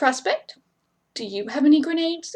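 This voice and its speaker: A woman puts on a character voice, pitched high with very wide swings. She talks at a moderate pace. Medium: read story. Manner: blunt, commanding, quick to anger.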